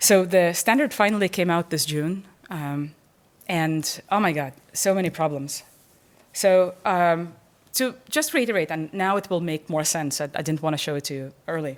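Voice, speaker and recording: On a very clean recording with a silent background, a woman with fairly low pitch talks at a moderate pace with ordinary pitch variation. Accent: non-native. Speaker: professor. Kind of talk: lecture. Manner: halting, many repetitions and fillers.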